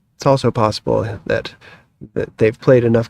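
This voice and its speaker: A man with a plain, everyday voice, medium in pitch, in an American accent at a moderate pace. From United States. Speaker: croquet commentator. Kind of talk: live sports commentary.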